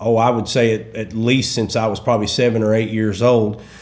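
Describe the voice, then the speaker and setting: A man with a Southern accent speaks at a medium pitch. Audible room echo surrounds his voice. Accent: Southern, like Kentucky. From east central Oklahoma. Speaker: gospel musician. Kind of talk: interview. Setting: studio.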